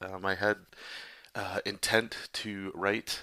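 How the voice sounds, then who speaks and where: A quiet man's voice, fairly low in pitch, with a bright, sharp tone in a very clean recording against a silent background. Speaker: comic artist and podcaster. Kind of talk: casual chat. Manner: quiet, hushed; hesitant, many fillers.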